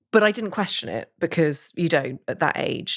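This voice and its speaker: An English accent from a woman with a fairly low pitch and ordinary pitch variation. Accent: English accent, stood out in Northern Ireland. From Northern Ireland, moved from Surrey at four. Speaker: author and podcaster. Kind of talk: interview conversation.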